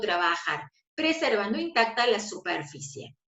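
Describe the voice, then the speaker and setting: A woman's fairly high voice with very wide pitch swings and audible room echo. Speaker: aesthetics instructor. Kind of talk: online lecture. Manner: fast.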